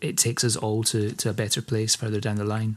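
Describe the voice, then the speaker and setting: Moving at a fairly quick pace, a man speaks with a Scottish accent. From Scotland. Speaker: podcast host. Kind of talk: interview conversation.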